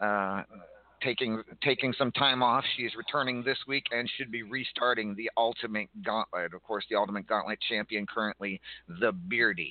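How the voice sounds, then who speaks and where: An unremarkable speaking voice belongs to a man at medium pitch. He keeps a moderate pace with ordinary pitch variation. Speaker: podcast host of a wrestling roleplay show. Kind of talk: casual in-character chat show.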